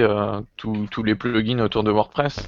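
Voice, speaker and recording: Over noticeable background noise, a man speaks at a medium pitch and a fairly slow pace in a monotone, flat intonation. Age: 20s. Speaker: web developer. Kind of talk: casual chat.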